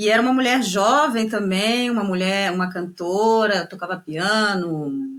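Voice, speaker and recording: With a northeastern Brazilian accent, a woman speaks with ordinary pitch variation. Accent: Brazilian with northeastern touch. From Brazil, São Paulo state (Guarulhos), northeastern parents. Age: 30s. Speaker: tango singer and dancer. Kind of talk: interview conversation. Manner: hesitant, many fillers and repetitions.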